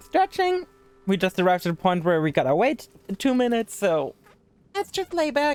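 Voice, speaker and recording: The speaker has a German accent, and the pitch swings very widely. The sound is dry and close, with no echo. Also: man. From Germany. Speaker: video game streamer. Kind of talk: live gaming stream chat. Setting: live stream. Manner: fast; casual.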